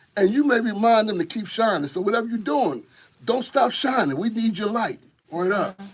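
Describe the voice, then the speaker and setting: A high-pitched man with an animated tone, lively intonation and a fairly quick pace. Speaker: hip hop community organizer. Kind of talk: radio interview. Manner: fast.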